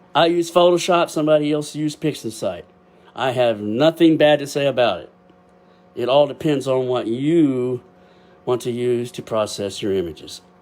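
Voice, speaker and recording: A loud man's voice, fairly high in pitch, at a moderate pace with ordinary pitch variation. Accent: Texas. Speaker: amateur astrophotographer. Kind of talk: casual livestream talk. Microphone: built-in webcam microphone.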